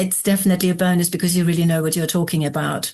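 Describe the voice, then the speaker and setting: A somewhat breathy quality marks this woman's voice. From northern Germany. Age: 60s. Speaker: complementary therapist and coach. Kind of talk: podcast interview.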